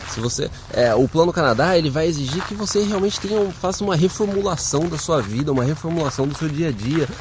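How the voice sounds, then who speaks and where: Over noticeable background noise, a man rattles along at a very fast pace with lively intonation and hardly any pauses. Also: fairly high pitch for a man. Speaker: immigration advice video host. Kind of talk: casual Q&A video.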